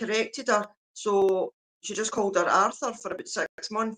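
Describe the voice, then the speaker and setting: The voice has a Scottish accent, a bright, sharp tone and fairly even intonation. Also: woman. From Scotland. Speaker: livestreamer. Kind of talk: casual chat. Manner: slow.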